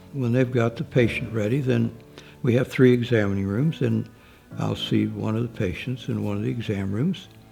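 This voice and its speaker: Music can be heard behind the voice. The delivery keeps a moderate tempo. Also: man. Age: 80s+. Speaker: physician at a free clinic. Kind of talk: interview answer.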